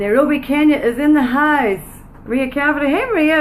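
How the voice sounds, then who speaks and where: Over noticeable background noise and audible room echo, a woman talks with a Northern Irish accent. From Northern Ireland. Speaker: business coach. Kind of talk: live stream chat. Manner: animated.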